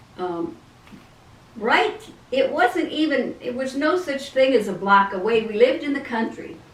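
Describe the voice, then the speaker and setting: A woman talks at a moderate pace with a high pitch and very wide pitch swings. Audible room echo and noticeable background noise fill the recording. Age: 70s. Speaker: grandmother being interviewed. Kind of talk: casual interview. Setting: video call. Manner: halting.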